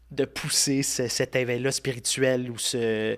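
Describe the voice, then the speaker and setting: The recording is very clean, with a silent background. A man speaks at a medium pitch in a monotone, flat intonation. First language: Italian (speaking French). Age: 30s. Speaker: podcast host and content creator. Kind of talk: casual interview chat.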